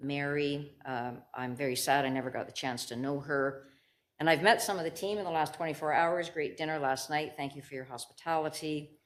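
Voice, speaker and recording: A woman with a very deep, low pitch talks at a fairly quick pace with ordinary pitch variation amid audible room echo. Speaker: lawyer and bone marrow donor patient partner. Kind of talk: conference talk. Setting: symposium stage.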